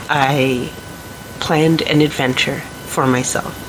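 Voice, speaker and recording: A woman speaks over noticeable background noise. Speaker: vlogger. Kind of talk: personal vlog monologue.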